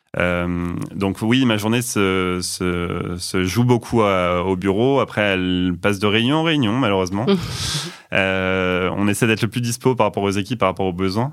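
Speech at a fairly slow pace with ordinary pitch variation. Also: man, fairly low pitch for a man. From Normandy, France (Rouen). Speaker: internal communications manager. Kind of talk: interview. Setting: studio. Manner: halting.

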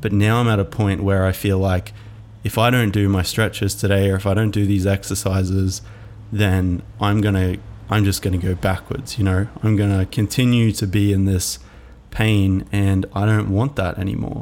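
A man speaks in an ordinary speaking voice with a fairly low pitch and fairly even intonation. His pace is moderate and his loudness very even. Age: 20s. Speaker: podcast host, filmmaker. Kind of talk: solo reflective monologue.

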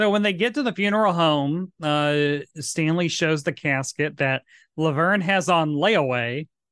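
A man with a Tennessee accent talks fairly slowly at a fairly high pitch, his loudness very even, in a dry, close sound with no echo. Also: ordinary pitch variation, quiet background. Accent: Southern US, Tennessee. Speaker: podcast host, drag queen. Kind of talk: casual chat. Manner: campy, playful.

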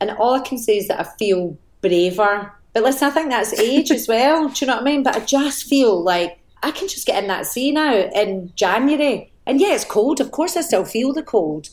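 A high-pitched woman's voice at a moderate pace, with very wide pitch swings. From Scotland, north Glasgow. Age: 40s. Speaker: actor. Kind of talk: casual chat.

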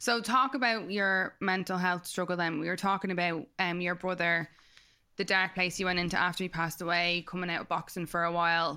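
A woman with a Dublin accent and a bright, sharp tone talks at a fairly quick pace and fairly low pitch, with fairly even intonation, on a very clean recording with a silent background. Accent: Dublin Irish. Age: 30s. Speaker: podcast co-host. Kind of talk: casual chat.

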